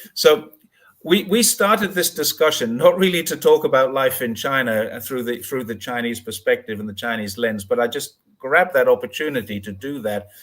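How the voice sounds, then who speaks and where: Moving through very wide pitch swings and big swings in loudness, a man speaks at a medium pitch and a moderate pace. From northeast England. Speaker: YouTuber and livestream host. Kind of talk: casual livestream interview.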